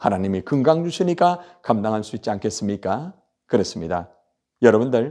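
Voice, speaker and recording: The voice has a dark, mellow tone and very wide pitch swings. It moves at a moderate pace. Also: man, medium pitch for a man. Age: 60s. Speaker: pastor. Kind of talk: sermon. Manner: animated.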